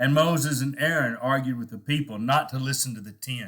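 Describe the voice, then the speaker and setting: Speaking in a Texan accent, a man talks at a fairly quick pace. His pitch is medium with ordinary variation. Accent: Texan American English. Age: old. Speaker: preacher. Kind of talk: devotional talk. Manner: conversational, halting.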